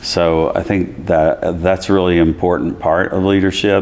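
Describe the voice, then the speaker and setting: Monotone, flat intonation in a Southern Appalachian accent, with noticeable background noise. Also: man. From US South, East Tennessee. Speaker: college chancellor. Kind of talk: interview. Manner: conversational, many fillers.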